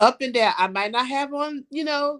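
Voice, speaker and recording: Speaking with an American accent, a woman has a high-pitched voice. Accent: Brooklyn accent, comes out at times. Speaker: salon owner and cosmetologist. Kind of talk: casual interview chat.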